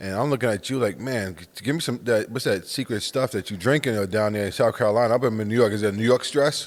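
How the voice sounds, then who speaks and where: The delivery is animated and very fast, with hardly any pauses. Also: man, medium pitch for a man, ordinary pitch variation. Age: 40s. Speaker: podcast host and pastor. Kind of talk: interview conversation.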